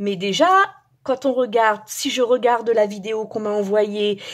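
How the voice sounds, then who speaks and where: This woman's delivery is very slow. She has a fairly high pitch. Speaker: resin craft youtuber. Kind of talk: tutorial. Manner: hesitant, many fillers and repeats.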